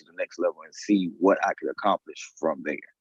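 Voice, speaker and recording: Talking at a fairly quick pace, this man has an American accent. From Texas, Beaumont. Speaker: high school band director. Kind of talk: interview.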